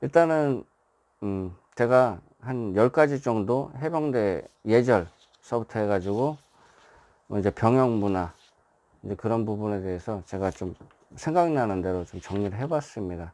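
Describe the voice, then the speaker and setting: A man's dark, mellow tone with lively intonation and long, frequent pauses. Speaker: writer and former marine. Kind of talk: casual explanatory monologue. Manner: filler-heavy, repetitive (예, 이제, 뭐).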